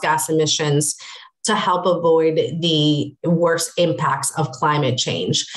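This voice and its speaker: This is a woman speaking. There is noticeable background noise. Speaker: government affairs director. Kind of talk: slide presentation and panel discussion. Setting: video call.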